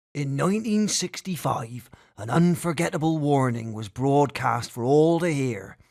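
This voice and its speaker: Lively in intonation, a man with an unremarkable speaking voice talks at a fairly high pitch and a fairly slow pace. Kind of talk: narration reading a speech text.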